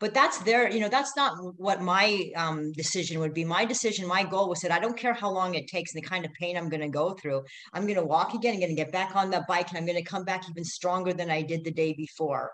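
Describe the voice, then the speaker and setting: Noticeable background noise sits behind a woman speaking at a very fast pace. Her pitch is fairly low with ordinary variation. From Middle East, born in Canada. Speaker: ultra-endurance racer. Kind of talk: interview.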